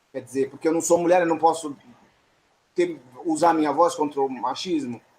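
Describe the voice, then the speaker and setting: This man keeps fairly even intonation while talking at a fairly high pitch. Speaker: theatre audience member. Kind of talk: post-show discussion. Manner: fast.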